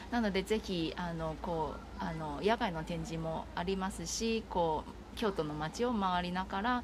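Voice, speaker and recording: A woman with a fairly low pitch and ordinary pitch variation speaks at a fairly slow pace over noticeable background noise. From Taiwan. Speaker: art festival project manager. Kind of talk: casual interview.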